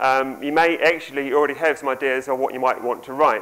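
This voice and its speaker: Speaking at a fairly quick pace, a man with a New Zealand accent has a fairly high pitch. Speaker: conference speaker, software developer and author. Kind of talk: conference talk.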